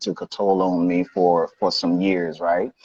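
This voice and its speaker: A Haitian accent in a dry, close sound with no echo. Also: man. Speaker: life coach. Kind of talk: interview. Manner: casual, conversational.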